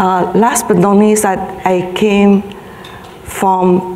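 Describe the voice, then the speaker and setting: A woman speaks with a Vietnamese accent, with audible room echo and noticeable background noise. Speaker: health advocacy organization leader. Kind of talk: conference speech. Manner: halting, many fillers.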